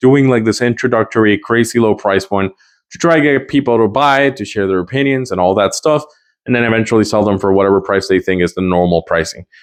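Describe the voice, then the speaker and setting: A man with a non-native accent speaks very fast at a fairly low pitch with ordinary pitch variation. The background is quiet. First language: not English. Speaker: guitar gear reviewer. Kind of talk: product review. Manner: casual, hesitant with fillers.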